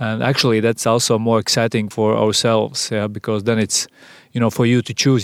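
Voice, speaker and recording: A man with a Latvian accent speaks at a medium pitch in a flat, monotone way. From Latvia, Sigulda. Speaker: advertising agency managing partner. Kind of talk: interview. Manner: halting.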